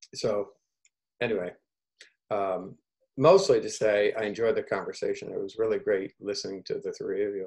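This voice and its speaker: A man talks at a moderate pace, with long, frequent pauses. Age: 60s. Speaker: researcher, former nurse in Africa. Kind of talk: community video call discussion.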